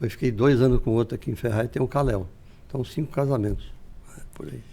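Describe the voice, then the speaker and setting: The speech comes at a very fast pace with a dark, mellow tone. Vocal fry is present, along with ordinary pitch variation. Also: man, medium pitch for a man. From interior of São Paulo state, Brazil. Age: 70s. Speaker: businessman, retired military police officer. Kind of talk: podcast interview. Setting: studio. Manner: conversational, frequent tag 'né'.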